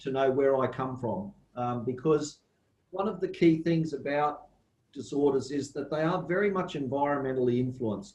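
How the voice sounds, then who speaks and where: This man has an Australian accent and a fairly high, somewhat breathy voice. Room echo is audible. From Australia, southeast Queensland. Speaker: university plant pathology lecturer. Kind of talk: lecture.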